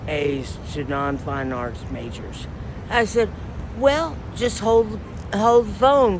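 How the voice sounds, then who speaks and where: A woman with a Texan accent talks at a very slow pace over noticeable background noise and audible room echo. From South Texas. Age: 60s. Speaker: homeless woman interviewed on the street. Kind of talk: street interview. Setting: outdoors in a park.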